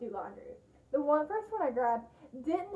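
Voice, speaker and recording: A woman's voice sits at a high pitch. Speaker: DIY vlogger. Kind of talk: casual vlog chat. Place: bathroom. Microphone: phone near.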